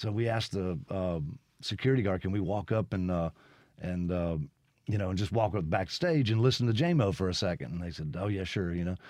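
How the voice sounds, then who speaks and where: In a Mississippi accent, the speaker moves at a fairly quick pace with ordinary pitch variation on a very clean recording with a silent background. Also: man, very deep, low pitch for a man. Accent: Mississippi Southern. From Mississippi (Brandon, near Jackson). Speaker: musician. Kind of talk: radio interview. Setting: studio.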